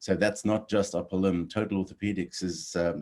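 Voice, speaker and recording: In a very clean recording with a silent background, a man with a South African accent speaks at a moderate pace in a very deep, low pitch and a monotone, flat intonation. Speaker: orthopedic surgeon. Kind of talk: interview.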